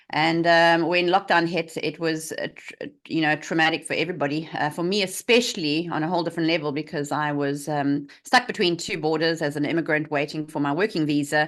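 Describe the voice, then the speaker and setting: A woman with a South African accent speaks in a very deep, low voice. Her intonation stays fairly even, and she hardly pauses at all. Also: fairly quick pace. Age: 40s. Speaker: health coach. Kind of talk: interview.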